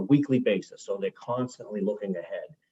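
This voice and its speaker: In an American accent, a man speaks. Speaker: utility executive. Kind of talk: testimony at a legislative forum.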